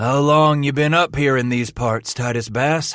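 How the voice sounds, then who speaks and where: Putting on a character voice, a man speaks at a moderate pace with a medium pitch. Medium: read story. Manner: gruff, profane, authoritative.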